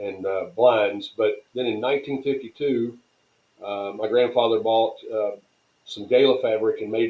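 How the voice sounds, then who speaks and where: A man is talking. He speaks with a Tennessee accent. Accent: Southern US (Tennessee). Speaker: tent company president. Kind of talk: podcast interview. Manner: fast.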